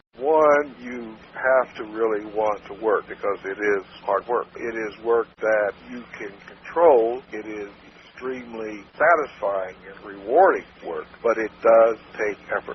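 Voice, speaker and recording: A man talks at a fairly slow pace with a medium pitch and ordinary pitch variation. His loudness swings widely, and there is noticeable background noise. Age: 70s. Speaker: marketing consultant. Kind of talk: interview answer. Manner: straight-talking.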